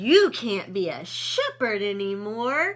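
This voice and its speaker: A woman's put-on character voice, fairly high in pitch, at a fairly slow pace. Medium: read story.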